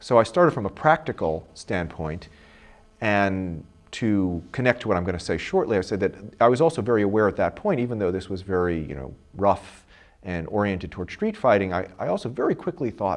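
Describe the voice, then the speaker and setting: Here a man talks at a fairly quick pace with a fairly low pitch. His intonation is lively. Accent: Brooklyn. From Brooklyn, New York. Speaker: professor. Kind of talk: interview. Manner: halting.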